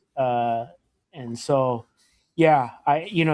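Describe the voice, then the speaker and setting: In a very clean recording with a silent background, you hear a man with an American accent. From US Pacific Northwest, Portland, Oregon. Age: 50s. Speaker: podcast host, hockey fan. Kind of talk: casual chat.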